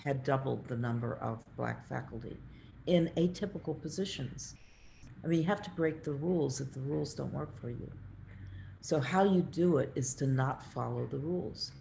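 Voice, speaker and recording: In a room with audible echo, a woman speaks at a moderate pace in a very deep, low pitch, her tone dark and mellow with vocal fry and ordinary pitch variation. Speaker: architect and professor. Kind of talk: lecture Q&A.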